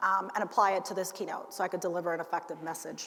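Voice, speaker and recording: A woman is talking in a room with audible echo. Noticeable background noise is present as well. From United States, moved from Cuba at six. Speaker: ergonomics expert, keynote speaker. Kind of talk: conference keynote. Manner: casual, many fillers.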